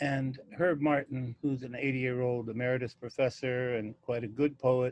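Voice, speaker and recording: Using a plain, everyday voice, a man speaks at a medium pitch and moderate pace with fairly even intonation. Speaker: poet and publisher. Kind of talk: casual talk to camera.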